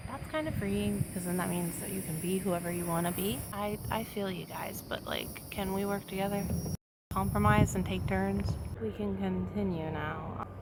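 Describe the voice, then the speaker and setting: Soft-spoken at a moderate pace, a woman is heard with audible room echo and noticeable background noise. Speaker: vlogger. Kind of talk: casual vlog monologue. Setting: outdoors in a chair near home. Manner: soft-spoken, speaking quietly.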